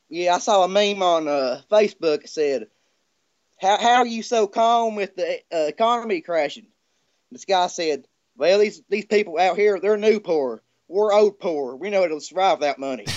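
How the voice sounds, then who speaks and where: With lively intonation, a high-pitched man talks at a moderate pace. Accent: Southern US. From US South. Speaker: caller. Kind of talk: casual chat. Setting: video call.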